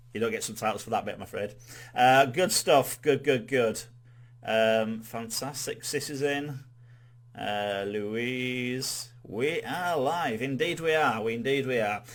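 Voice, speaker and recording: Fairly slow speech in a Yorkshire accent. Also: man, medium pitch for a man, ordinary pitch variation. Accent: Yorkshire accent, noticeable. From Yorkshire, northern England. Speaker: quiz host. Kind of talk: live-streamed quiz hosting. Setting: live stream. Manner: casual, chatty, with many fillers.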